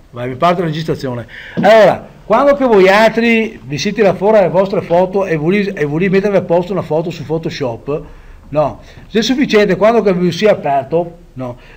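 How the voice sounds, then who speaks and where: A man speaks in a high voice at a fairly quick pace with lively intonation over noticeable background noise. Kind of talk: casual software tutorial.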